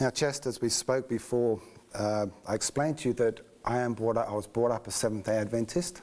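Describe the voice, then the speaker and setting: A man with a slight English accent speaks at a moderate pace and medium pitch, with ordinary pitch variation. His loudness stays very even, broken by long, frequent pauses. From England, just north of London. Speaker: interviewee sharing faith story. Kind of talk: personal testimony. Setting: studio.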